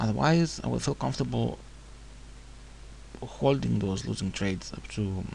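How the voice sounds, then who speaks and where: A man with a non-native accent speaks in a very deep, low pitch. His pitch swings very widely, and he leaves long, frequent pauses. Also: moderate pace. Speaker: forex trader. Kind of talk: screen-recorded trading tutorial.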